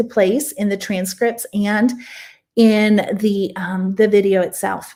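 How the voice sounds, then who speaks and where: An ordinary speaking voice at a fairly slow pace with fairly even intonation, in a very clean recording with a silent background. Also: woman. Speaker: online coach and course creator. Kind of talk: live Q&A sales talk. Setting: live stream.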